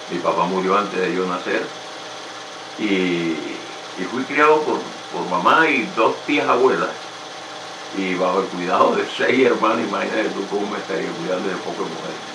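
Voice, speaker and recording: With a Colombian Caribbean accent, a man speaks at a moderate pace in a fairly low voice with lively intonation and long, frequent pauses, amid audible room echo and noticeable background noise. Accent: Colombian Caribbean coastal Spanish. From Colombia, Caribbean region (Tamalameque, Cesar). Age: 70s. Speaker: retired teacher and local historian. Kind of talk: interview.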